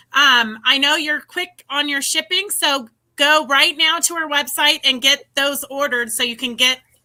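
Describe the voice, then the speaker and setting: Raising and projecting her voice, a woman speaks at a high pitch with a bright, sharp tone. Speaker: live show host. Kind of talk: live stream interview.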